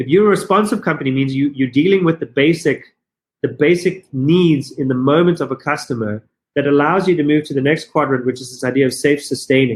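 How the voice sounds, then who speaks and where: With a South African accent, the speaker moves at a fairly quick pace using ordinary pitch variation. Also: man, fairly high pitch for a man. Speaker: business consultant and company founder. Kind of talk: podcast interview. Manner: fast, halting with repetitions.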